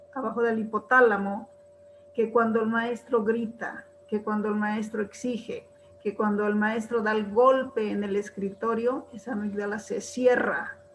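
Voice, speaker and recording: Against noticeable background noise, a woman speaks fairly slowly in a fairly high, monotone, flat voice. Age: old. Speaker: retired teacher, webinar participant. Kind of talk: spoken comment in webinar Q&A.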